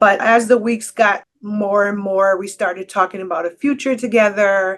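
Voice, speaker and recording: At a moderate pace, a woman speaks in a normal speaking voice, at a medium pitch with fairly even intonation. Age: 60s. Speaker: scam victim and advocate. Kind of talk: testimony.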